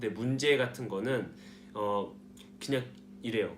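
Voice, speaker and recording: A man's voice carries audible room echo. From South Korea. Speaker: nursing student vlogger. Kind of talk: casual vlog talk. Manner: hesitant, many fillers.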